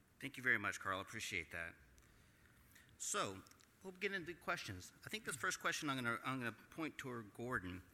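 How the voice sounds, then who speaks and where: Here a man with a Texas accent talks at a fairly quick pace with long, frequent pauses. His medium-pitched voice has a bright, sharp tone and very wide pitch swings. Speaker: panel moderator. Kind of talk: moderated panel discussion. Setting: stage with audience. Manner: halting.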